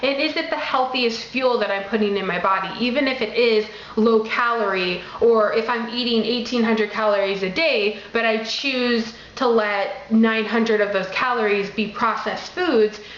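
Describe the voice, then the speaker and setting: Amid noticeable background noise and audible room echo, a woman with a fairly high pitch talks at a moderate pace with ordinary pitch variation. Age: young. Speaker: vlogger. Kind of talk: casual vlog talk to camera. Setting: at home with kids.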